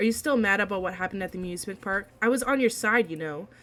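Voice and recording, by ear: Reading aloud in a natural voice, with ordinary pitch variation throughout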